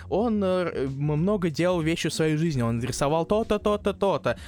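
His pitch high and his intonation lively, a man speaks at a moderate pace. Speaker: comics podcast co-host. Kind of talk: casual chat.

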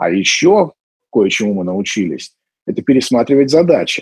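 At a moderate pace, a man with a fairly high pitch and vocal fry swings his pitch very widely. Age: 30s. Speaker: event company founder. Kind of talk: monologue interview.

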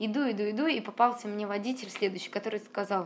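Very fast speech from a woman with a fairly high voice and ordinary pitch variation. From Russia, St Petersburg. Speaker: traveler and travel blogger. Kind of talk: interview storytelling.

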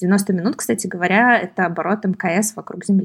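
There is a somewhat breathy quality to this voice. It belongs to a woman. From Moscow region, Russia. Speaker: entrepreneur and author. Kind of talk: casual interview chat.

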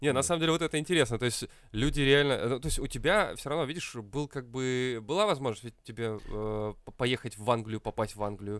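In an ordinary speaking voice, a man with medium pitch speaks with lively intonation at a fairly quick pace. The recording is very clean, with a silent background. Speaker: co-host. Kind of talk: casual comedic banter.

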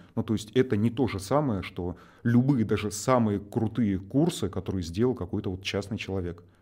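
Here a man speaks at a fairly low pitch with ordinary pitch variation. His tone is dark and mellow. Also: moderate pace. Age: 30s. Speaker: online education entrepreneur. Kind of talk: casual chat.

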